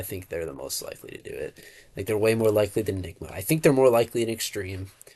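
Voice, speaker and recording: Somewhat breathy, this man's fairly low voice has ordinary pitch variation. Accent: American. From United States. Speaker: esports commentator YouTuber. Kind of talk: casual solo commentary video. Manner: casual, halting with repetitions.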